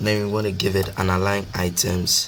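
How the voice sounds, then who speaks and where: Through noticeable background noise, a man with a very deep, low pitch talks at a fairly slow pace with fairly even intonation. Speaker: programming tutor. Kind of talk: coding tutorial narration. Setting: poor microphone recording. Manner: casual, hesitant.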